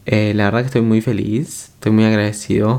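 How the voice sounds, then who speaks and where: Soft-spoken, a man talks at a medium pitch with a dark, mellow tone. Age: 20s. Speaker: podcaster. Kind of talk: casual monologue. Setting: at home late at night.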